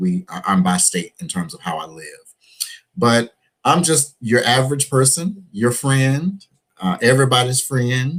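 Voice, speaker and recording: With an Alabama accent, a man speaks at a fairly slow pace, with very wide pitch swings and big swings in loudness. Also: medium pitch for a man. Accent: Southern US (Alabama). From US South, Gadsden, Alabama. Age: 40s. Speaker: preacher and HIV activist. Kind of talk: interview.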